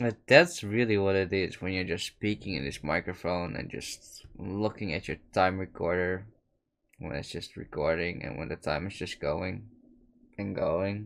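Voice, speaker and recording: Very deep and low in pitch, a man with a Dutch accent speaks at a moderate pace with ordinary pitch variation. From Netherlands. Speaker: podcaster. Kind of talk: late-night solo monologue. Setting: solo recording at a microphone. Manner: reflective, meandering.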